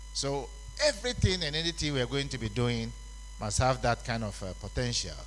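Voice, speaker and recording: A man talks at a fairly quick pace amid audible room echo. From Ghana. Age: 70s. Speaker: conference speaker on labour law. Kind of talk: conference speech.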